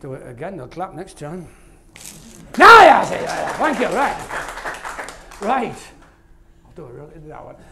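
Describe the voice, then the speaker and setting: With a Yorkshire accent, a man talks at a moderate pace in a high pitch, his voice making very wide pitch swings and big swings in loudness, with long, frequent pauses and noticeable background noise. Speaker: maths author and presenter. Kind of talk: live stand-up maths show in a pub. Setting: pub.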